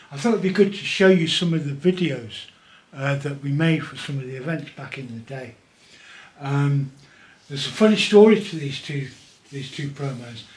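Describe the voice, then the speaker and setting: A man with a fairly high pitch talks at a moderate pace with ordinary pitch variation, amid audible room echo and noticeable background noise. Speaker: animator and event promo maker. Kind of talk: casual video monologue.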